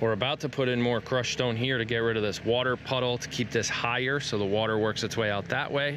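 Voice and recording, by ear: Over clear background noise, a man talks at a fairly quick pace with a medium pitch and ordinary pitch variation.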